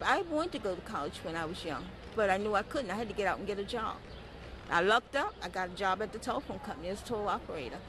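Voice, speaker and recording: Talking at a very fast pace, a woman sounds dry with no echo amid noticeable background noise. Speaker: interviewee. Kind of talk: interview answer. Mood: proud, joyful. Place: garden. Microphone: handheld.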